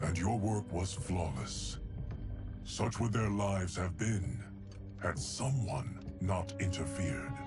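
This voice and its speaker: A man puts on a character voice, very deep and low in pitch, at a fairly slow pace. Loud music plays in the background. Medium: short film. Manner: deadpan, formal.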